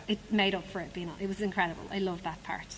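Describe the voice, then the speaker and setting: A woman with an Irish accent talks at a very fast pace, her medium pitch showing ordinary variation, with noticeable background noise around her. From Dublin, Ireland. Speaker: musical theatre actress. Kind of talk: interview. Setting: theatre stage.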